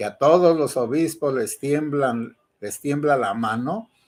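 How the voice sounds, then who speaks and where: This man's pitch is fairly high, with ordinary pitch variation. He speaks at a very slow pace. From Mexico, Michoacán. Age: 60s. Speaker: priest. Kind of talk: commentary monologue. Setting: online video broadcast.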